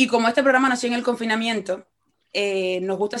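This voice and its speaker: Her delivery runs at a very fast pace. The woman's pitch shifts in an ordinary way. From Cuba. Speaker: podcast host, journalist. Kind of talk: interview conversation.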